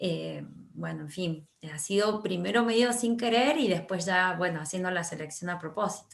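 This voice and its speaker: A woman speaks at a fairly slow pace. Her medium pitch shows ordinary pitch variation. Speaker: writer and teacher. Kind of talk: interview. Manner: halting, many fillers.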